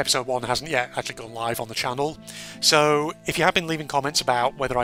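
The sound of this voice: Here is an unforced reading voice. The pitch rises and falls in an ordinary way.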